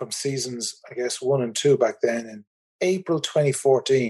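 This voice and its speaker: With an Irish accent, a man with a fairly high pitch and dark, mellow tone speaks at a fairly slow pace with ordinary pitch variation. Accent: Irish, noticeable. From Republic of Ireland. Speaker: tour company managing director. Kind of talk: casual interview chat.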